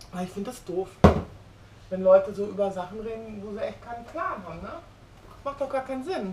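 Over noticeable background noise, a woman with a medium-pitched voice talks at a fairly quick pace in an animated tone, with ordinary pitch variation, big swings in loudness, and long, frequent pauses. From Germany. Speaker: vlogger. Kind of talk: casual vlog monologue. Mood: opinionated, worked up. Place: kitchen.

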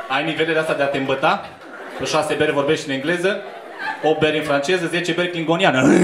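Noticeable background noise runs under the speech. The pace is very fast and the intonation fairly even. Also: man. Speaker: stand-up comedian. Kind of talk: stand-up comedy crowd work. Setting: stage with audience. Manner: bantering, quick-witted, teasing audience members with cheeky improvised jokes; casual, irreverent, conversational. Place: bar.

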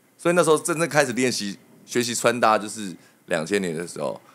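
A man talks at a moderate pace with vocal fry. His pitch swings very widely. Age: 30s. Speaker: hairdresser; podcast guest. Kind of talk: casual chat. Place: studio. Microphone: studio mic.

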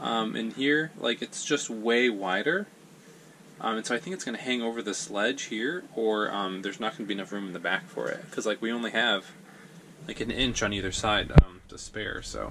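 A man speaks at a moderate pace, pitch varying in an ordinary way, while light noise sits in the background. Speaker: RV traveler vlogger. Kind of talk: casual vlog chat, tutorial. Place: bathroom. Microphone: phone near.

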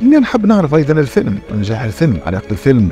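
With faint music in the background, a man's voice swings very widely in pitch, recorded dry with no echo. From Tunisia. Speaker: actor, writer and director. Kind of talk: interview answer. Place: studio. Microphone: lapel.

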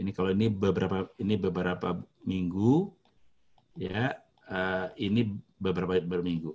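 Long, frequent pauses break up a man's very deep, low-pitched voice, which keeps fairly even intonation. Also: moderate pace. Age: 50s. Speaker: hotelier; guest lecturer. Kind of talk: lecture. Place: home room. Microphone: webcam.

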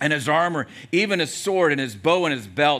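At a moderate pace, a man talks in a bright, sharp tone. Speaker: pastor preaching. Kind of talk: sermon. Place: church. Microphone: headset.

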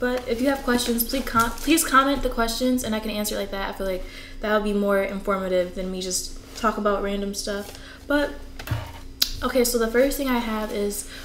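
Over light background noise and audible room echo, a woman talks with ordinary pitch variation. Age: 20s. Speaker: navy recruit training graduate. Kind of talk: casual talk to camera. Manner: chatty, conversational. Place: home room.

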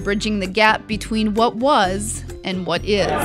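Music plays in the background. A woman speaks at a fairly high pitch. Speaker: news reporter. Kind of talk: TV news feature narration.

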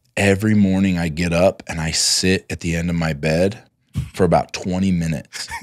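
Recorded dry with no echo, a man speaks at a moderate pace in a very deep, low pitch. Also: fairly even intonation, quiet background. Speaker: entrepreneur; podcast guest. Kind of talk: casual interview. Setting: at home. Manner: loud. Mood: earnest, reflective. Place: studio. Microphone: studio mic.

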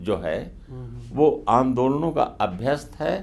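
Over light background noise, a man with a fairly high pitch and vocal fry speaks at a fairly slow pace. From northern India. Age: 70s. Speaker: journalist and author; journalist. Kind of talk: interview. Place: studio. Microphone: lapel.

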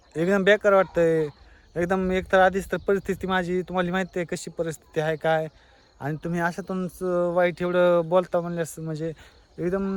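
A man with a high voice speaks in a flat monotone. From rural Maharashtra, India. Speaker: family vlogger. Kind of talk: vlog monologue. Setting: outdoors in a field.

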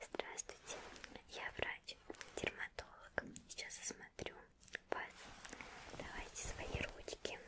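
The voice is a woman's whisper. Her pace is very slow. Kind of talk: soft ASMR role-play talk. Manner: soft close-mic ASMR doctor voice. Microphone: studio mic.

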